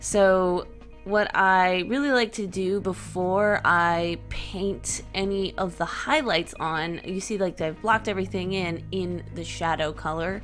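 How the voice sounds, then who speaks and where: A woman speaks at a fairly slow pace with hardly any pauses. Music sounds in the background. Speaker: digital artist, aspiring game developer. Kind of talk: casual paint-along vlog narration.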